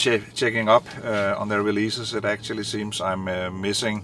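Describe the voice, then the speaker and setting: A man with a medium pitch speaks at a moderate pace over noticeable background noise. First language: not English. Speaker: vinyl collector video host. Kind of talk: casual monologue. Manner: halting, many fillers.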